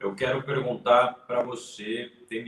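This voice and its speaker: Noticeable background noise is present. Over it, a man speaks at a medium pitch. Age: 20s. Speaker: YouTube channel host and economics student. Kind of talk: casual live-stream interview. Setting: online live stream.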